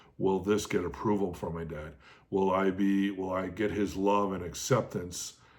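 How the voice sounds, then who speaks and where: At a moderate pace, a man with a very deep, low pitch talks with fairly even intonation amid audible room echo. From Canada (Toronto, southern Manitoba). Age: 40s. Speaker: podcaster. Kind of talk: personal testimony monologue. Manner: reflective with many filler words.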